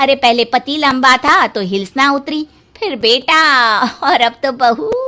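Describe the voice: In a put-on character voice, a woman speaks slowly with a high pitch and a bright, sharp tone. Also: ordinary pitch variation.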